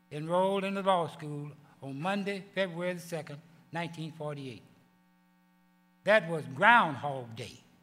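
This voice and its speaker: A man with a high voice and a bright, sharp tone speaks with big swings in loudness. Long, frequent pauses break up his speech, and the room echoes audibly. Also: ordinary pitch variation, moderate pace. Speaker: award recipient. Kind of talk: acceptance speech. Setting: banquet with audience.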